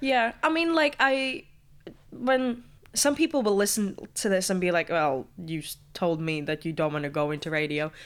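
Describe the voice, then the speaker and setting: Using very wide pitch swings, this speaker talks at a moderate pace with a Latvian accent. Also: woman, medium pitch for a woman. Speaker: student radio presenter. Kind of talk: casual interview chat.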